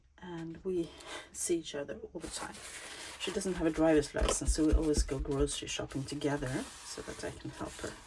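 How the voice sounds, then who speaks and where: Very deep and low in pitch, a woman speaks at a fairly quick pace with fairly even intonation and big swings in loudness, over noticeable background noise. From Sweden. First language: Swedish. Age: 50s. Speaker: crafting YouTuber. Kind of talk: casual craft-along chat. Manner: halting.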